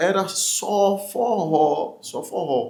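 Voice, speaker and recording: This is a man speaking. Room echo is audible around his voice. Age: 40s. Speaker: forró singer and songwriter. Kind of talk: talk show interview. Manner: animated.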